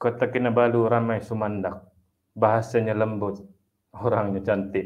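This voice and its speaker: A man at a medium pitch with monotone, flat intonation, against a quiet background. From Sabah, Malaysia. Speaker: Islamic studies academic; webinar speaker. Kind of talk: motivational talk. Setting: online webinar. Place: home room. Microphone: earbuds.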